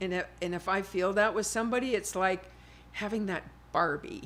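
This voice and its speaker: Here a woman speaks at a medium pitch. Her pace is moderate and her pitch variation ordinary. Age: 60s. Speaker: modeling agent and manager. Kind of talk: podcast interview. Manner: animated.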